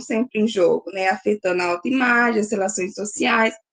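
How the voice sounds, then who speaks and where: The sound is dry and close, with no echo. The intonation is lively. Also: woman. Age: 20s. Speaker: graduate student presenting at a seminar. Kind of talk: academic seminar presentation. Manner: halting, many fillers.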